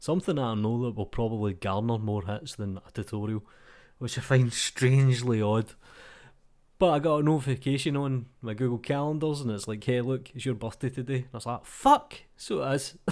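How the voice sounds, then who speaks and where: With a Glasgow accent, a man talks at a fairly quick pace in a medium pitch, his intonation showing ordinary pitch variation. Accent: Glasgow Scottish. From Scotland. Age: 30s. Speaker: 3D artist. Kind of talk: casual talk to camera. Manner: informal, ranting.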